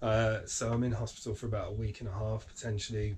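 A male speaker has a dark, mellow tone and sounds somewhat breathy. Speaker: vlogger with cancer. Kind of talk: casual vlog chat. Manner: hesitant, many fillers.

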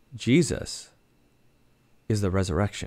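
Against a quiet background, a man with a fairly low pitch and vocal fry speaks fairly slowly in an animated tone. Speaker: pastor. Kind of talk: devotional Bible teaching. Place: home room. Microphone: studio mic.

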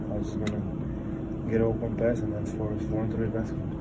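A man's voice comes through loud background noise. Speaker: professional basketball player. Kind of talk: post-game press conference answers. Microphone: phone near.

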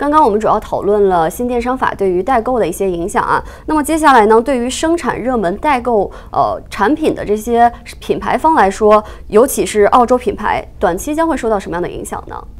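A woman with a fairly high voice talks at a fairly quick pace, her pitch swinging very widely. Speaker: news show host. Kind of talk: interview. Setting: studio. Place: studio.

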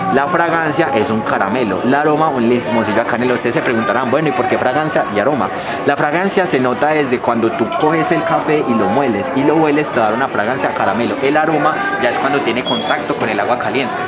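Against clear background music, a man talks at a very fast pace with ordinary pitch variation. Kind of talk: tutorial explanation. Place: cafe. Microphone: phone near.

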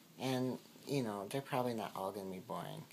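There is noticeable background noise behind a man as he speaks. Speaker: daily vlogger. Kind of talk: casual vlog chat. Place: home room. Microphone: phone near.

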